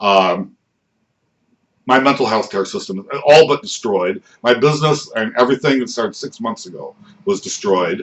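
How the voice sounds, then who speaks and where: Using a medium pitch with very wide pitch swings and big swings in loudness, a man speaks at a moderate pace with long, frequent pauses. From United States. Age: 60s. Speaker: vlogger, patient and activist. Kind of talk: personal testimony vlog. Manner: halting, many fillers and repetitions.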